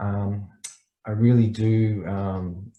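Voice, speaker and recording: A man speaks with an Australian accent at a fairly low pitch. His tone is dark and mellow and somewhat breathy. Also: quiet background. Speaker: startup mentor. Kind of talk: online presentation. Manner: fast.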